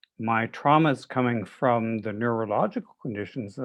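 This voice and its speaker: Speaking at a medium pitch and a moderate pace, a man uses a normal speaking voice with ordinary pitch variation. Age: 60s. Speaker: therapist asking a question. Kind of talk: Q&A question in webinar.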